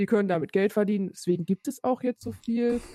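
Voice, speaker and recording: In a dry, close recording with no echo, a woman with a fairly high pitch and a dark, mellow tone talks at a very fast pace. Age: 30s. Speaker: podcast co-host. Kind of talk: casual chat.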